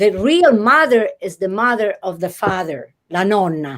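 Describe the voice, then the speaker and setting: Speaking at a fairly slow pace, a woman with a medium pitch makes very wide pitch swings. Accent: Italian. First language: Italian. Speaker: literature professor. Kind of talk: interview. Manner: animated; halting.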